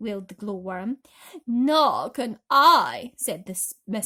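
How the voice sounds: Quiet surroundings behind a natural reading voice.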